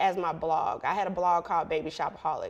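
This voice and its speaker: Someone speaks with an American accent in a very clean recording with a silent background. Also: woman. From Chicago west suburbs. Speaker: entrepreneur and blogger. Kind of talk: casual interview chat.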